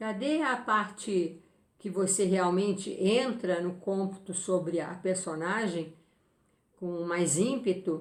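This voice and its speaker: A woman at medium pitch, with a very slow pace and ordinary pitch variation. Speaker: spiritist medium and book reviewer. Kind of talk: book review talk.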